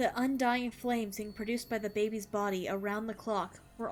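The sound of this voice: Reading in an unforced voice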